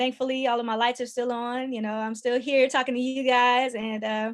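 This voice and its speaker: On a very clean recording with a silent background, a woman talks fairly quickly at a fairly high pitch in a monotone, flat intonation. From US South, Georgia (Lithonia). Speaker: artist and book co-author. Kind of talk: podcast interview.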